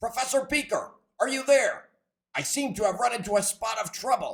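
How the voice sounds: A cartoonish character voice, fairly high in pitch, at a fairly quick pace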